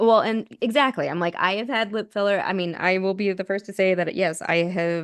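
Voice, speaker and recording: A woman with an American accent speaks in a fairly even intonation. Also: quiet background. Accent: Utah accent, comes out when talking fast. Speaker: podcast host. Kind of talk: casual chat. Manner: fast when on a roll.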